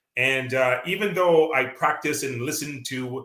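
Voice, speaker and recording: This man's voice sits fairly high and has a bright, sharp tone with a Canadian accent. He talks at a moderate pace with ordinary pitch variation. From Canada. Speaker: author and local politician. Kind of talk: interview. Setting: radio interview. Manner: hesitant with many fillers.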